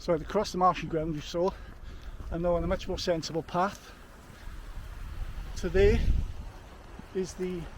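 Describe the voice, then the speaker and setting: A man with a South Welsh accent talks at a moderate pace, leaving long, frequent pauses. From Wales. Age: 50s. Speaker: trail runner vlogger. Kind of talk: solo vlog narration on the move. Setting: outdoors on hill trails.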